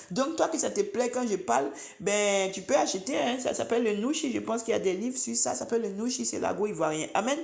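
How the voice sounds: A woman talks fast with an Ivorian accent and vocal fry. Her pitch variation is ordinary.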